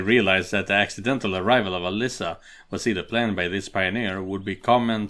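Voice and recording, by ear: A natural voice reading aloud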